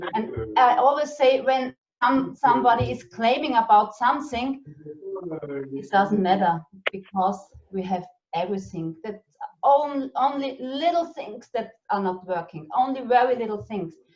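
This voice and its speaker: The speaker has a German accent and a moderate pace. Intonation is lively, with big swings in loudness. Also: woman, fairly high pitch for a woman. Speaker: network marketing business leader. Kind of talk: casual interview chat. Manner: halting.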